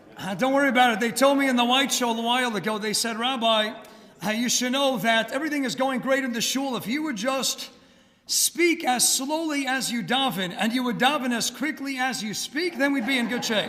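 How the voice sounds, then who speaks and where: Using an American accent, a man talks fairly quickly in an extremely high, raised, projected voice with ordinary pitch variation. The room echo is audible. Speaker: rabbi. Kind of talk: lecture. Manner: fast.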